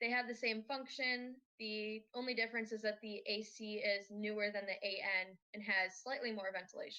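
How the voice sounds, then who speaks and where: This is an ordinary speaking voice with an American accent. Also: woman, fairly high pitch for a woman, fairly even intonation, moderate pace. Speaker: robotics team student presenter. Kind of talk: conference presentation.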